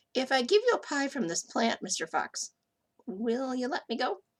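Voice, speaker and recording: A woman's high-pitched, put-on character voice at a moderate pace. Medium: read story. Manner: polite, gentle.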